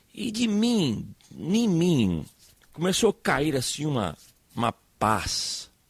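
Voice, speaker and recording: A man speaks with a non-native accent at a fairly high pitch. He goes at a very slow pace, with long, frequent pauses and very wide pitch swings. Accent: foreign accent in Portuguese, makes errors. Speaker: pastor. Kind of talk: sermon. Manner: halting, repeats words.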